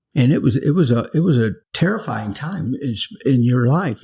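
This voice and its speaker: Here is a man with an American accent. His voice is somewhat breathy and medium in pitch. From US South. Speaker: pastor. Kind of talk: interview. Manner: halting.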